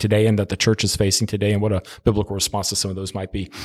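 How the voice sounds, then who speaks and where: A man's fairly low voice comes through a very clean recording with a silent background. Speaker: senior pastor. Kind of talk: casual chat.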